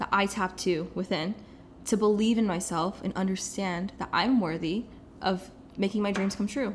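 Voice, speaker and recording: Here is a woman with a plain, everyday voice at a medium pitch. She keeps a moderate pace and fairly even intonation. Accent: American. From US Midwest, Kansas City. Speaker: life coach. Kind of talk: casual interview.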